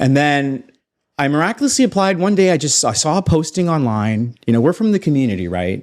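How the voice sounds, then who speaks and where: A man with an American accent talks at a fairly quick pace in a fairly high pitch, his voice making very wide pitch swings across a very clean recording with a silent background. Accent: American-sounding North American. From Canada (Toronto). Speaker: space entrepreneur, former banker. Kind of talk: podcast interview.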